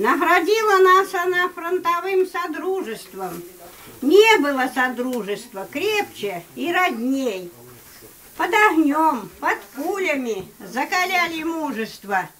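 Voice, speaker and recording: Over light background noise, a woman talks at a very slow pace. Her pitch is extremely high and swings very widely. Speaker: grandmother reciting poetry. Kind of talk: poetry reading. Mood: solemn, heartfelt. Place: home room. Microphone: camera far.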